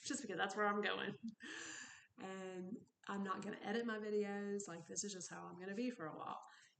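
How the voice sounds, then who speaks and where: A soft-spoken woman talks at a fairly quick pace and medium pitch with fairly even intonation. Long, frequent pauses break up her speech. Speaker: recovery vlogger. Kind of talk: personal vlog monologue. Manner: rambling, tangential.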